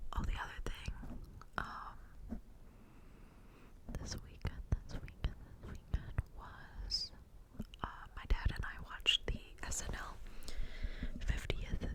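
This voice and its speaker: Whispering amid noticeable background noise, a woman leaves long, frequent pauses, and her loudness swings widely. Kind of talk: ASMR whisper ramble. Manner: whispered.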